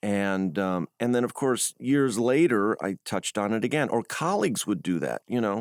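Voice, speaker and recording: A man with an American accent talks at a moderate pace with lively intonation and hardly any pauses. The sound is dry and close with no echo, on a very clean recording with a silent background. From US Midwest. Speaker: journalist. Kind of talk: interview. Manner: hesitant, many fillers.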